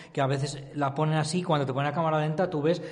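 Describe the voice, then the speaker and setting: A man's somewhat breathy, fairly high voice at a very fast pace, with fairly even intonation and audible room echo. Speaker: cycling expert. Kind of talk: podcast discussion. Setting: office.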